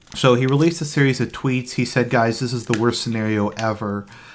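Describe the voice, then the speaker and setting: Soft-spoken and fairly quick, the voice comes through in a very clean recording with a silent background. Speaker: commentary streamer. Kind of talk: casual live stream commentary. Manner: quiet, soft-spoken.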